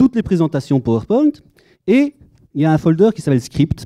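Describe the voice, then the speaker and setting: In a slight Belgian accent, a man speaks with a dark, mellow tone at a fairly high pitch, his voice making very wide pitch swings. The sound is dry and close, with no echo. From Belgium. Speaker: conference speaker, data architect. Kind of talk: conference talk. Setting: conference room with audience. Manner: humorous, conversational.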